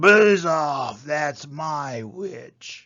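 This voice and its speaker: A man puts on a shrill character voice with a fairly high pitch. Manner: threatening, menacing.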